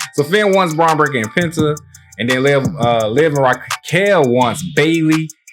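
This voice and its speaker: Music plays in the background. The voice has ordinary pitch variation. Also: man. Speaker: wrestling podcast host. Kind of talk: casual recap commentary. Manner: fast; animated.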